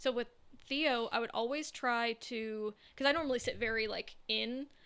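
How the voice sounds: With a Southern California accent, a woman talks at a fairly high pitch using fairly even intonation.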